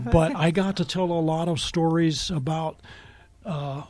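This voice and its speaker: Over music in the background, a man talks at a high pitch with ordinary pitch variation. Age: 60s. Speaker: journalist and writer. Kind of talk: radio interview. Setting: radio studio.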